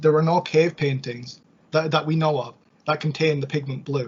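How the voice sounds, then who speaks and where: A fairly high-pitched man's voice, somewhat breathy, with monotone, flat intonation. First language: Scottish Gaelic. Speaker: ancient history expert guest. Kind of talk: podcast discussion. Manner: hesitant with fillers.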